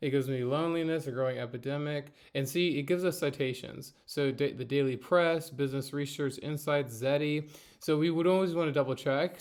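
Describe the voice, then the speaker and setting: Against a quiet background, a man talks at a very fast pace. His pitch is fairly high and his intonation fairly even. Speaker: university instructor. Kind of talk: tutorial. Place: home room. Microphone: webcam.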